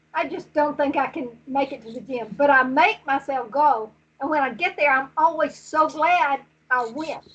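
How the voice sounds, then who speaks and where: Her pitch sits high for a woman, and she keeps a moderate pace. Her loudness swings widely from moment to moment. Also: ordinary pitch variation. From Alabama. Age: 70s. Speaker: jiu-jitsu athlete. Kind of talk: interview.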